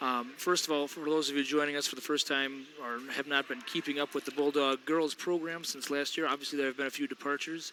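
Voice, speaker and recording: A man talking at a very fast pace with fairly even intonation, over noticeable background noise. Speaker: basketball play-by-play commentator. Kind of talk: live sports commentary. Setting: school gym. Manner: loud.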